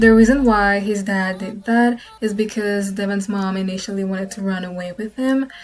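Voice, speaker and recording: Showing a slight non-native accent, a woman speaks at a moderate pace with hardly any pauses, fairly even intonation, and big swings in loudness. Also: medium pitch for a woman. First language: not English. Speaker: gaming content creator. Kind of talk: casual Q&A talk to camera.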